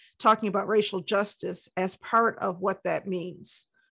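The tone is bright and sharp, with a Midwestern American accent. The background is quiet. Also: woman. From Detroit, Michigan. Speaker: community organization leader. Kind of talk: interview testimony.

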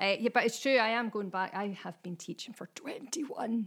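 At a moderate pace, a woman talks in an unremarkable speaking voice with ordinary pitch variation, recorded very cleanly against a silent background. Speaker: writer and teacher. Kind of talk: casual chat.

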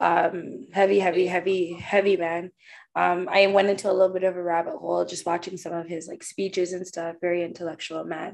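A woman with a fairly low pitch talks at a fairly quick pace. Her loudness swings widely. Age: 30s. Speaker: podcast co-host. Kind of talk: casual chat. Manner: animated.

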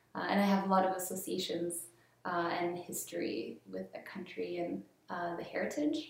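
With a slight Canadian accent, a woman speaks at a moderate pace against noticeable background noise. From Colombia. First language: Spanish. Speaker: graphic designer and artist. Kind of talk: casual interview chat.

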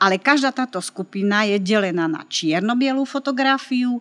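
A woman's bright, sharp voice carries lively intonation in a dry, close sound with no echo. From Slovakia, Martin. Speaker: photography teacher. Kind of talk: interview.

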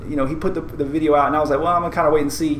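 A man's fairly high-pitched voice, with noticeable background noise and audible room echo. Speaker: podcast co-host. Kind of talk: casual chat. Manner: high energy.

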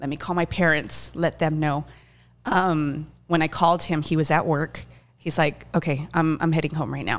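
Her pitch very deep and low, a woman speaks in a monotone, flat intonation with vocal fry. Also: moderate pace. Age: 30s. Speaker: breast cancer patient. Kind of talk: casual interview.

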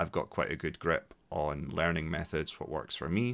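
A man with a Scottish accent speaks at a moderate pace in a very deep, low voice. The recording is very clean, with a silent background. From Scotland, Dundee. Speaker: English teacher and podcast host. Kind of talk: solo podcast monologue for learners. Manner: hesitant, with frequent repetitions.

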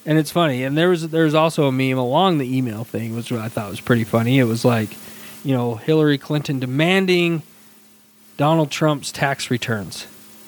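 A man at a fairly quick pace and medium pitch, with an ordinary speaking voice. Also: ordinary pitch variation. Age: 30s. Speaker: podcast co-host. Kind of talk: casual chat.

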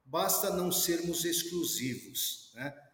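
Here a man is speaking. Noticeable background noise and audible room echo surround his voice. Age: 50s. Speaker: professor and security specialist. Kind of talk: interview.

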